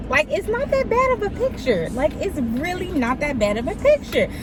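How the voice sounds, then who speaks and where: A woman speaks at a fairly quick pace, her pitch swinging very widely, with noticeable background noise throughout. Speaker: vlogger and nursing assistant trainee. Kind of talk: casual vlog talk to camera. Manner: fast.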